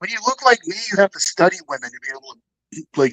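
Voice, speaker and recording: This man's pitch swings very widely as he talks at a fairly quick pace. The sound is dry and close, with no echo. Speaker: live-stream commentator. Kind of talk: casual chat. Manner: animated.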